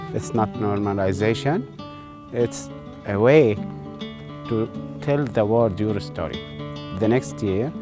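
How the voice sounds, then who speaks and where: Music plays behind a man with a Levantine accent whose fairly low voice swings very widely in pitch. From Syria and Jordan. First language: Arabic. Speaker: educator. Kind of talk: interview answer.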